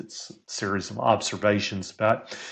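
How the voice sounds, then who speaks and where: A fairly slow pace in a Texan accent. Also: man. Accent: Texan American. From Texas. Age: 60s. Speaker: career coach and sports statistician. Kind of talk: podcast interview.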